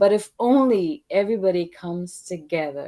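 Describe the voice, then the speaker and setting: A woman's dark, mellow tone. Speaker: participant in discussion. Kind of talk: casual group discussion. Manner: calm, measured.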